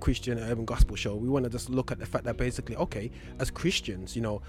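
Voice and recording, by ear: Here a man talks at a fast pace. His pitch variation is ordinary.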